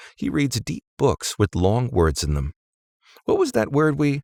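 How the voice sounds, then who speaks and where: A man puts on a sing-song character voice at a medium pitch. He talks at a moderate pace, and the sound is dry and close with no echo. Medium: read story. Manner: breathless, sing-song, playful.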